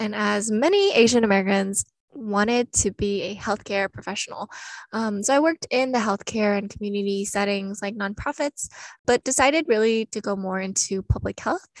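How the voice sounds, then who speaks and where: A woman talks in an ordinary speaking voice at a medium pitch and a moderate pace. Her pitch varies in an ordinary way, and the sound is dry and close with no echo. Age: 20s. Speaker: podcast co-host, graduate student. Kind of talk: scripted podcast introduction.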